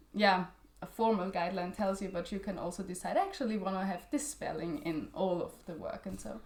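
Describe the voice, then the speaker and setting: In a German accent, a woman speaks at a medium pitch. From Austria. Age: 20s. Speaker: literary journal editor. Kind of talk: interview. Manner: halting, many fillers.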